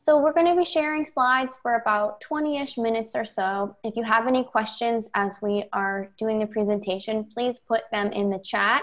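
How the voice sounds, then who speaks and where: A woman at a moderate pace with hardly any pauses and ordinary pitch variation, against a quiet background. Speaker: presenter. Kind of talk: presentation. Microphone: video call.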